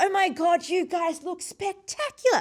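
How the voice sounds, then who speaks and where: Extremely high pitch in a put-on character voice. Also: moderate pace. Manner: animated, enthusiastic.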